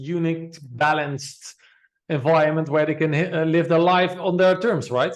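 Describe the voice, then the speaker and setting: A man talks at a moderate pace with a non-native accent. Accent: foreign. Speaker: podcast host. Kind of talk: interview. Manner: halting.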